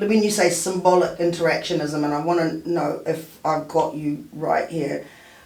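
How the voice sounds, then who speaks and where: A woman's fairly low voice in a New Zealand accent, at a moderate pace with hardly any pauses and fairly even intonation, amid noticeable background noise and audible room echo. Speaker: radio show host. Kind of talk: casual chat. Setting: radio studio.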